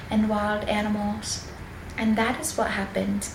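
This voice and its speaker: A woman with a fairly high pitch talks over noticeable background noise. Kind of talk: Bible reading for relaxation and sleep. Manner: soft-spoken, whispered.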